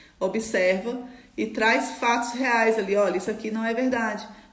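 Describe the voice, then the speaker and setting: Over noticeable background noise and audible room echo, a woman talks in a fairly high pitch with fairly even intonation. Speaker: trading mindset coach. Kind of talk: live stream talk. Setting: live stream. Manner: fast.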